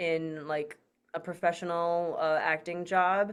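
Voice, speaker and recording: A woman in an American accent speaks in a fairly low, monotone, flat voice. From US Midwest, Michigan. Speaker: voice actor. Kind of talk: interview.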